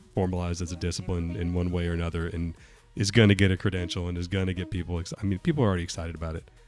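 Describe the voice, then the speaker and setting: Over music in the background, a man with an American accent speaks in a very deep, low voice with fairly even intonation. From Western North Carolina. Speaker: tech company executive. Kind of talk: casual interview.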